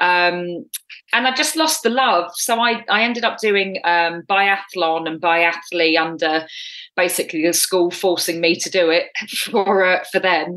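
A woman with an English accent, bright and sharp in tone, medium in pitch, fairly slow in pace and ordinary in pitch variation. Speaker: triathlete and coach. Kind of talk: interview.

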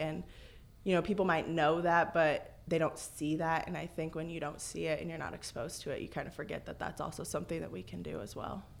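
Here is a woman with an American accent. Her pitch is fairly low. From US Midwest, Illinois. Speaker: athletic trainer. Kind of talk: radio interview. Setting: radio studio.

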